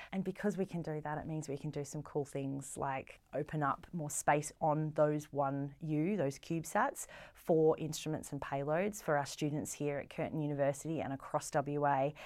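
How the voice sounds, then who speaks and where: A woman with an Australian accent has a very deep, low pitch and fairly even intonation. She speaks at a moderate pace with hardly any pauses, on a very clean recording with a silent background. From Australia, Melbourne. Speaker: space science centre deputy director. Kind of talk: casual interview.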